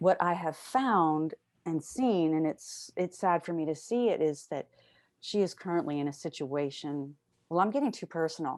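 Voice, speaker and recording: At a moderate pace, a woman with a fairly low pitch and a dark, mellow tone speaks on a very clean recording with a silent background. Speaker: sutta study group leader. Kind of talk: group discussion.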